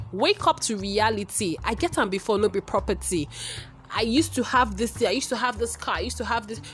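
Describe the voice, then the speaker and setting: Fairly quick speech from a woman over background music. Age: 20s. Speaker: podcast host. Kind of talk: casual monologue.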